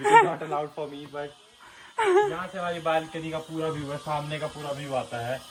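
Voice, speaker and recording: Against noticeable background noise, a man speaks at a moderate pace and fairly high pitch, flat and monotone in intonation, with big swings in loudness. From Himachal Pradesh, India. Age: young. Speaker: travel vlogger. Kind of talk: casual house tour vlog.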